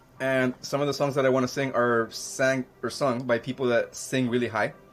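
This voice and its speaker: Over music in the background, a man talks in a monotone, flat intonation at very even loudness. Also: medium pitch for a man, moderate pace. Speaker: podcast co-host; musician. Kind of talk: casual chat.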